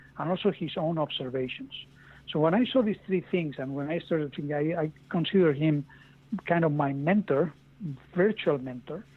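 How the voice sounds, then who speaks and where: The speaker is a man with a Castilian accent. His pitch varies in an ordinary way. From Spain. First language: Spanish. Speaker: author. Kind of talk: podcast interview. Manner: halting, with repeated words.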